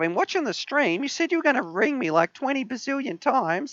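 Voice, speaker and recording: In a put-on character voice, the speaker rushes at a very fast pace with a high pitch and very wide pitch swings. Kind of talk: chatty, exaggerated. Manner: impatient, teasing.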